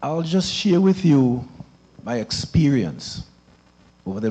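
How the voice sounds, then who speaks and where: A man speaks at a fairly slow pace in a dark, mellow tone, his pitch swinging very widely, with audible room echo. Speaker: community member speaking at town hall. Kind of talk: testimony. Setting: church hall with audience. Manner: loud.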